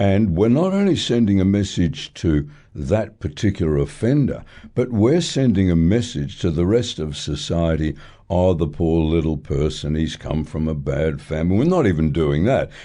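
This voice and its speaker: A man with an Australian accent speaks at a moderate pace in a very deep, low pitch, with a dark, mellow tone and lively intonation. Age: 70s. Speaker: retired judge, radio commentator. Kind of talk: radio talkback interview. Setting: radio studio.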